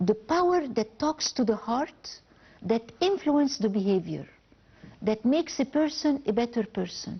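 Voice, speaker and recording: Speaking with an Arabic accent, a woman has a fairly high pitch and lively intonation. Her pace is fairly slow and her loudness very even. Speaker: novelist. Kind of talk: TV interview. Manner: halting with false starts.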